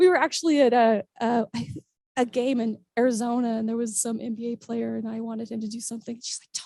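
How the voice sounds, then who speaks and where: A woman talks at a very fast pace, her pitch fairly high and her tone dark and mellow. Her loudness swings widely while her intonation stays fairly even. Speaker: motivational speaker and charity fundraiser. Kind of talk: conference talk.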